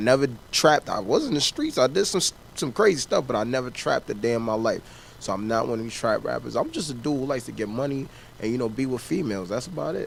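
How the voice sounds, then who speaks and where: A man's medium-pitched voice at a very fast pace with lively intonation. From US Northeast, Harlem, New York. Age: 20s. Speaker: rapper. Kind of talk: interview.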